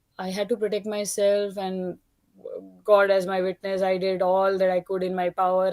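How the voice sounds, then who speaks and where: At a moderate pace, a woman talks in a medium pitch with a dark, mellow tone. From India. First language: not English. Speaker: caller. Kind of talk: testimony. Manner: halting.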